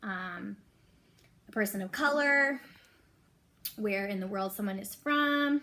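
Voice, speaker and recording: Fairly high, a plain, everyday voice from a woman, her pitch moving in an ordinary way. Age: 30s. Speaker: elementary school teacher. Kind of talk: reading aloud; casual chat.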